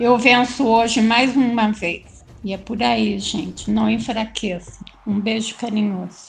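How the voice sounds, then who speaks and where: Against noticeable background noise, a woman speaks at a very slow pace with hardly any pauses. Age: 60s. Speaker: reiki practitioner with Parkinson's. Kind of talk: casual group chat.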